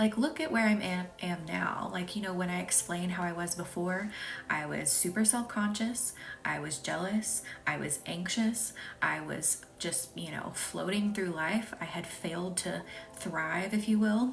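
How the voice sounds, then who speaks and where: With a slight Southern US accent, the speaker talks at a fairly slow pace. Background noise is noticeable. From US South, Arkansas. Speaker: reiki healer and spiritual coach. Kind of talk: live-stream energy healing session. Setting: live stream. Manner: casual, chatty.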